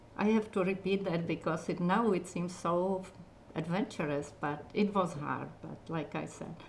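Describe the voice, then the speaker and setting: At a moderate pace, a woman speaks with a fairly low pitch. Her intonation is fairly even. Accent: strong Czech. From Czechoslovakia. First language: Czech. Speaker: retiring community TV operations manager. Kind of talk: interview.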